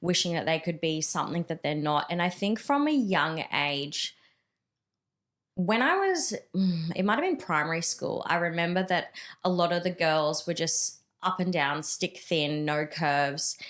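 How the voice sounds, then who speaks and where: A woman's ordinary speaking voice, fairly low-pitched, with ordinary pitch variation, very even loudness and a moderate pace. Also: very clean recording, silent background. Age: 30s. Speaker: powerlifter and mindset coach. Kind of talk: casual interview chat.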